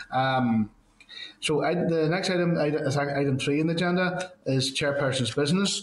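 A man speaks in a fairly high pitch with ordinary pitch variation and very even loudness, with audible room echo around him. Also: moderate pace. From Northern Ireland. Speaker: committee chair. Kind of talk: formal meeting chairing. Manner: hesitant, many fillers. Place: office. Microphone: video call.

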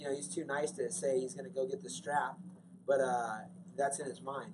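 Noticeable background noise sits behind a man speaking at a fairly quick pace. His pitch is fairly high, with vocal fry. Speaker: MMA coach. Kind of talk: interview. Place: hall. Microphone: handheld.

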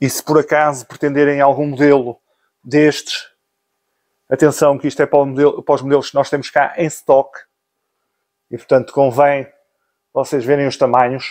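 A man's fairly high, monotone, flat voice broken by long, frequent pauses, over a quiet background. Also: moderate pace. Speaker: motorcycle gear seller and vlogger. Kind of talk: sales pitch, motorcycle gear shop promo. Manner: brisk pitchman patter, listing discounts and prices; friendly, informal, direct address to viewers. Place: shop. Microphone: phone near.

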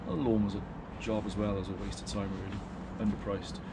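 A man's words come at a moderate pace through loud background noise. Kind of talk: casual vlog chat. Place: garden.

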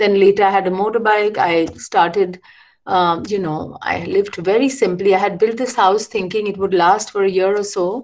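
With the background quiet, the woman keeps a moderate pace and fairly even intonation. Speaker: architect and educator. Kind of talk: lecture. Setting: video call. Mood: reflective, calm. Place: home room.

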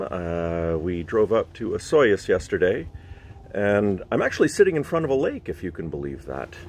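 A man's ordinary speaking voice, fairly low in pitch, at a moderate pace, with a dry sound and no echo. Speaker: musician vlogger. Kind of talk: casual vlog chat. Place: waterside. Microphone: phone near.

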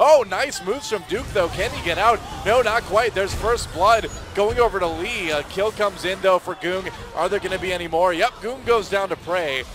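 Crowd noise fills the background while the speaker talks with ordinary pitch variation. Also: man, high pitch for a man. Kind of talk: esports play-by-play commentary. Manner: fast, excitable, calling fights as they unfold.

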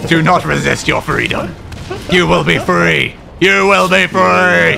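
A man puts on a character voice, with background noise clearly audible. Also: fairly slow pace. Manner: menacing, put-on.

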